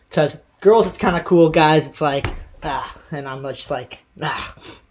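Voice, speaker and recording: This man has a normal speaking voice, pitched fairly high. He speaks at a moderate pace. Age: 20s. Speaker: podcast host and freeskier. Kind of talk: casual interview chat. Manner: rambling, many fillers and restarts.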